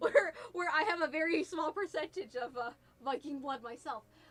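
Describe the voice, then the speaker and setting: With an American accent, a woman speaks at a moderate pace and with ordinary pitch variation. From New Jersey.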